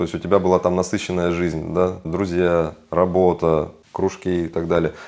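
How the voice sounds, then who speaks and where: Over a quiet background, a man with a very deep, low voice speaks at a moderate pace. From Kazakhstan. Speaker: financial consultant. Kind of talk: interview.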